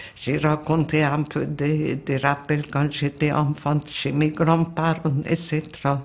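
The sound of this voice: A woman's low voice in a Hungarian accent, slow in pace, with little pitch movement.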